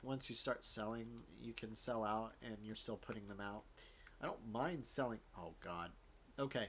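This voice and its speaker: Speaking at a moderate pace with a slight Southern US accent, a man uses ordinary pitch variation. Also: medium pitch for a man. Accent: slight Southern tinge. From US South, Florida. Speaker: gaming YouTuber. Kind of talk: gameplay commentary. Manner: casual, halting with fillers.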